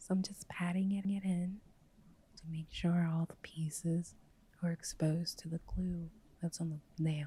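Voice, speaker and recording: Soft-spoken delivery comes at a fairly slow pace. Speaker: hobby nail artist. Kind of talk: ASMR nail art tutorial.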